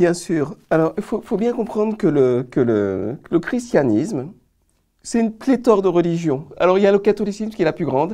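Moderate pace against a quiet background. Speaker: Adventist pastor. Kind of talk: religious panel discussion. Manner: halting, repeating words.

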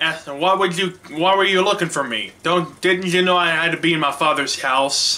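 A man talks at a moderate pace with hardly any pauses. His pitch is high, his intonation fairly even, and his loudness very even. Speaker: church media ministry director. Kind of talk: sermon; sermon-style Bible retelling. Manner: halting, many restarts and fillers. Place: home room. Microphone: webcam.

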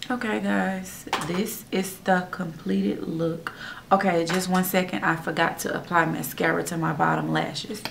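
A woman talks at a moderate pace in a fairly low pitch. Noticeable background noise runs underneath. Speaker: beauty vlogger. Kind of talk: tutorial. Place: home room. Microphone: phone near.

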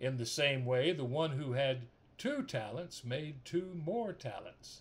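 Somewhat breathy, a man's voice comes through. He talks at a fairly slow pace. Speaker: minister. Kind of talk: scripture reading. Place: home room. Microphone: phone near.

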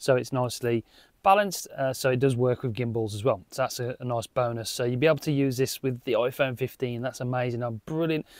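A man's medium-pitched, slightly mellow voice at a fairly quick pace with fairly even intonation

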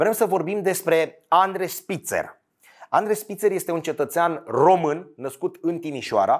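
Against a quiet background, a man with a high pitch speaks at a fairly slow pace with ordinary pitch variation. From Romania. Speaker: sports storyteller. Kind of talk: scripted narration. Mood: somber, serious. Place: studio. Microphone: lapel.

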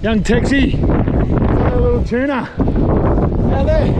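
Loud background noise surrounds a man as he talks. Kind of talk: encouraging coaching commentary. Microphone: phone near.

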